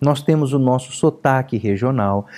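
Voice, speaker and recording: Lively intonation colors a man's dark, mellow tone as he speaks at a fairly slow pace. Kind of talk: careful, instructional.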